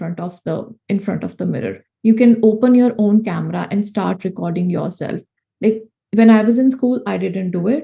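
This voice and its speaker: A woman with a medium pitch talks at a moderate pace, somewhat breathy, her pitch varying in an ordinary way. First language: not English. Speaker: food safety consultant. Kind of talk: interview. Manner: halting.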